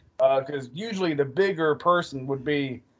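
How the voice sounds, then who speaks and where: He has a normal speaking voice with a fairly high pitch, ordinary pitch variation, and a moderate pace. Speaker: podcast host. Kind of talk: promo-style announcer intro, then casual chat. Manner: showman-like, theatrical, upbeat.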